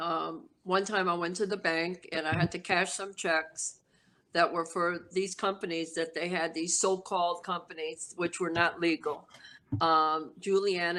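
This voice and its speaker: On a very clean recording with a silent background, a woman speaks at a fairly slow pace in a monotone, flat way, her fairly low voice bright and sharp in tone. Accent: American. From New York City, South Bronx. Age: 60s. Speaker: former mafia associate. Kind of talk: interview storytelling. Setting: podcast interview. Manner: casual, streetwise.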